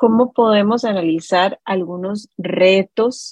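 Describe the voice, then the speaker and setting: A woman with a Costa Rican accent speaks at a medium pitch with ordinary pitch variation, the sound dry and close with no echo. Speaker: radio host. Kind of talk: educational radio interview.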